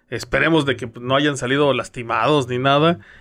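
This is an ordinary speaking voice. A man talks with a fairly high pitch and fairly even intonation. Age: young. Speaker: radio news co-host. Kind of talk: casual news chat.

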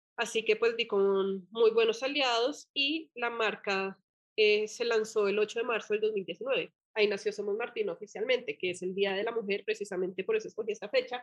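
A woman with a plain, everyday voice, fairly high pitch, fairly even intonation and moderate pace. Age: 30s. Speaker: entrepreneur, brand founder. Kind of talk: interview conversation.

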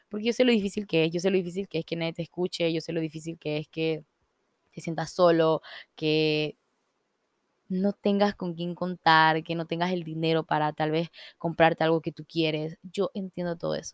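The sound is dry and close with no echo as a woman with a fairly low pitch speaks at a moderate pace with fairly even intonation. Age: 20s. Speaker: podcast host, entrepreneur. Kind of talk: casual solo monologue. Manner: informal, many fillers.

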